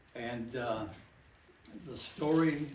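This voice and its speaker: The voice has ordinary pitch variation over noticeable background noise and audible room echo. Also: man. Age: 70s. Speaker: local storyteller. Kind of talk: oral history talk to a group.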